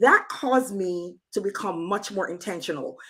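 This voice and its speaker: A woman of medium pitch with a plain, everyday voice, at a moderate pace, on a very clean recording with a silent background. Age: 60s. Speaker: financial counselor and accountant. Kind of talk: testimony.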